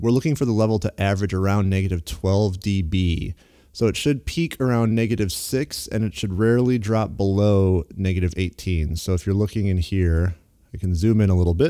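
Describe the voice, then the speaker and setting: Over a quiet background, a man talks at a fairly quick pace with a fairly low pitch, a dark, mellow tone, ordinary pitch variation and very even loudness. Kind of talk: tutorial. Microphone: studio mic.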